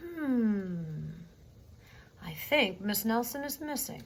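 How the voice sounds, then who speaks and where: Put-on character voice from a woman, fairly high-pitched with very wide pitch swings, at a very slow pace over clear background noise. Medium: read story. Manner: slow, musing.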